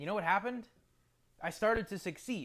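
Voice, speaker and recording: On a very clean recording with a silent background, a man with an American accent speaks with lively intonation. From New Jersey. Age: 20s. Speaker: martial arts coach. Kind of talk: personal storytelling monologue.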